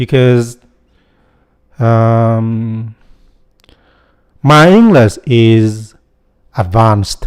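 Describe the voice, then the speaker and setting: A man talks at a medium pitch with ordinary pitch variation, moving at a very slow pace and leaving long, frequent pauses. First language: Vietnamese. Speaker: YouTuber, software developer. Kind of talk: casual vlog monologue.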